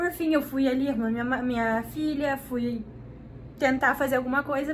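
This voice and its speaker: Fairly even intonation from a woman with a high-pitched voice. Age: 20s. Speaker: vlogger, young mother. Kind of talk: casual vlog talk to camera. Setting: at home. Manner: speaking quietly while baby sleeps.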